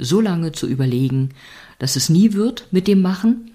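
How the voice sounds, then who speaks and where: A woman's soothing, gentle tone with lively intonation. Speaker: podcast host and meditation guide. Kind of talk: guided meditation; calm spoken reflection on life. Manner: slow, soothing, gentle; warm, encouraging, intimate address.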